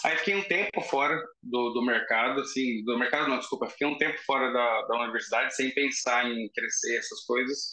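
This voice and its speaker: A man at a fairly quick pace, his loudness very even, over noticeable background noise. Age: 30s. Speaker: fire prevention engineer. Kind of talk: casual interview.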